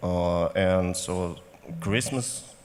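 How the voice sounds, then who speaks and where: Speaking very slowly over noticeable background noise, a man with a Russian accent has a very deep, low pitch and ordinary pitch variation. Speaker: company managing director. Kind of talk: panel discussion.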